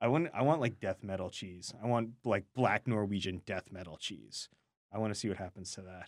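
Using a plain, everyday voice, a man speaks at a moderate pace with fairly low pitch, ordinary pitch variation and big swings in loudness, in a dry, close sound with no echo. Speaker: radio food show co-host. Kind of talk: casual radio chat. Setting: studio.

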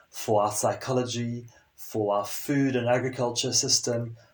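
A man speaks at medium pitch with fairly even intonation. Background noise is noticeable. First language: French. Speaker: sustainability and leadership consultant. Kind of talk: interview conversation.

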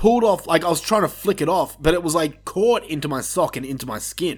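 This man talks at a fairly quick pace with lively intonation. His pitch is high. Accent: Australian. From Australia. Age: 30s. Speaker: podcast host. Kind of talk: casual chat.

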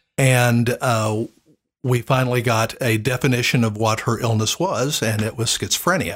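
A man with an American accent, somewhat breathy, at a medium pitch and moderate pace, with very even loudness and fairly even intonation. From Oklahoma, Tulsa area. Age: 60s. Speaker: church sound system salesman, former youth minister. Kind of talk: casual interview, personal storytelling. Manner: hesitant, many fillers.

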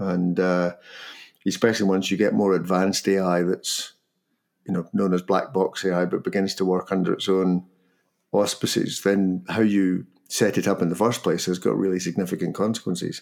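A man with a Scottish accent, very deep and low-pitched, at a moderate pace in a flat, monotone delivery. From Scotland. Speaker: podcast host. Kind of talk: casual conversation podcast. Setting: near London.

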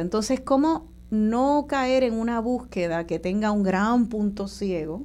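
A woman speaks at a medium pitch with a dark, mellow tone. Her pace is fairly slow, with ordinary pitch variation. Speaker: radio host. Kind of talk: radio talk show interview. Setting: radio studio.

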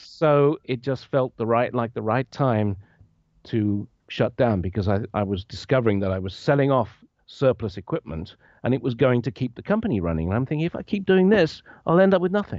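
A man with an English accent, medium pitch, very wide pitch swings and a fairly quick pace. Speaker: retired bassist and equipment rental owner. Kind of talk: interview. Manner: halting.

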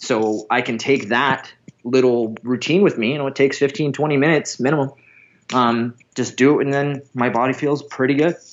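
This man has a normal speaking voice, with medium pitch, ordinary pitch variation and a moderate pace. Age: 30s. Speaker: strongman athlete. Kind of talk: interview.

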